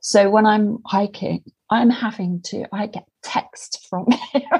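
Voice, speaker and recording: A woman's somewhat breathy voice at medium pitch, dark and mellow in tone, with ordinary pitch variation. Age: 50s. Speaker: hiker. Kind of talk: casual chat. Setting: video call.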